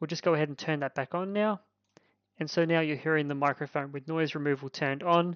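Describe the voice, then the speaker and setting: Using an Australian accent, a man with a fairly high voice talks at a fairly quick pace and with fairly even intonation. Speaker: tech reviewer. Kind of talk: product review. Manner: loud.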